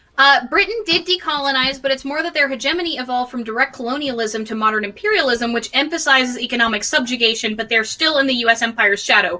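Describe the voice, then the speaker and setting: In a raised, projected voice with a high pitch and lively intonation, a woman speaks at a very fast pace with hardly any pauses over noticeable background noise. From Sheffield, England, then US. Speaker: political history streamer. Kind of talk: casual discussion stream.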